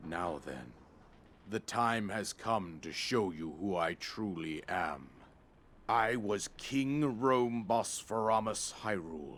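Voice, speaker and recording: At a very slow pace, a man talks in a put-on character voice. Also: fairly low pitch for a man. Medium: video game. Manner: solemn, measured, archaic.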